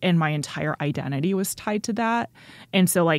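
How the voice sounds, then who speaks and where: A woman speaks at a moderate pace with a very deep, low pitch and lively intonation. The recording is very clean, with a silent background. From North Texas (Richardson). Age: 20s. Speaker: stand-up comedian. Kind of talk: casual interview.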